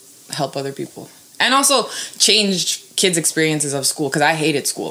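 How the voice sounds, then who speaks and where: A woman with a Canadian accent talks over noticeable background noise. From Toronto west end, Canada (born in Serbia). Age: 20s. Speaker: teacher. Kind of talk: casual chat.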